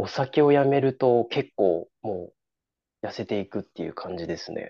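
In a dry, close recording with no echo, a man talks fairly slowly in a dark, mellow tone with lively intonation. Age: 20s. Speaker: amateur obstacle racer. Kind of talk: casual interview. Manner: halting.

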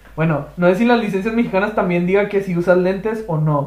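A man with a high pitch and fairly even intonation speaks at a moderate pace over noticeable background noise. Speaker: podcast host. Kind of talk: casual chat.

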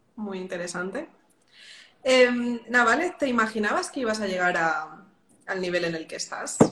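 A woman with a Madrid accent, medium pitch and ordinary pitch variation at a fairly slow pace, over noticeable background noise. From Madrid, Spain. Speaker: podcast host, music industry professional. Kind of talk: interview conversation.

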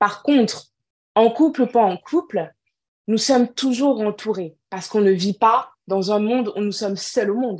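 Over a quiet background, a woman speaks at a medium pitch and a moderate pace. She has an unremarkable speaking voice. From Cameroon. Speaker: entrepreneur and natural hair advocate. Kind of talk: interview.

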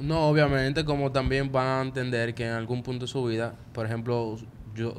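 A man with a Dominican accent talks at a fairly quick pace and medium pitch. Audible room echo surrounds his voice. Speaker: podcast co-host, multimedia student. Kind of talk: casual chat. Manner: animated.

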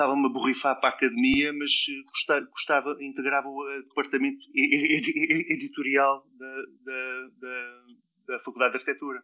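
Here a man speaks with a European Portuguese accent. His pace is moderate. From Portugal (Mozambique, Alentejo, Algarve). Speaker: designer and university lecturer. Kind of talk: interview. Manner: halting, many repetitions and fillers.

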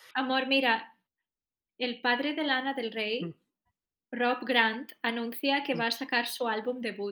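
On a very clean recording with a silent background, a woman with a high pitch and a bright, sharp tone speaks at a fairly slow pace, with fairly even intonation and long, frequent pauses. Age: 20s. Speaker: podcast co-host and actress. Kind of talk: casual chat; reading aloud.

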